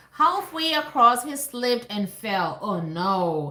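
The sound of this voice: A voice reads with no forcing.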